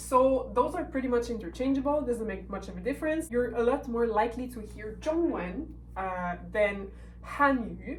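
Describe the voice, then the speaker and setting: With a French accent, a woman speaks at a moderate pace, her loudness swinging widely, and audible room echo can be heard. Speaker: language teacher. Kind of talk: tutorial.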